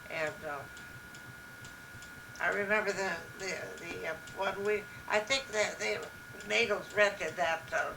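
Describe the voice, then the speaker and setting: A woman of medium pitch with an Upper Midwest accent, fairly slow, with ordinary pitch variation and noticeable background noise. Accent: Upper Midwest American. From Minnesota, USA. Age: 80s+. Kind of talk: interview answer. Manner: slow, hesitant.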